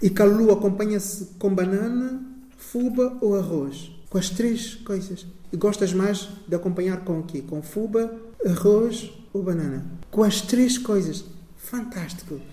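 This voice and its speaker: A man's high voice at a fairly slow pace, with audible room echo and noticeable background noise. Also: ordinary pitch variation. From São Tomé and Príncipe. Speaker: community radio host. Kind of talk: interview.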